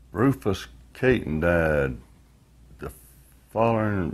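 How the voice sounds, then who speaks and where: Lively intonation in a Southern US accent. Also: man. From US South, northwest Florida. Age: 70s. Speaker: retired worker and credit union board member. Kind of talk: oral history interview. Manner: casual, with frequent hesitations.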